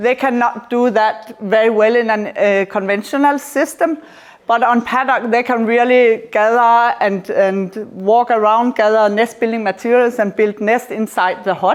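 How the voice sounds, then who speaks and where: A woman speaks fairly slowly at a fairly high pitch, her loudness very even. Noticeable background noise runs underneath. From Denmark. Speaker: professor. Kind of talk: lecture. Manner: halting.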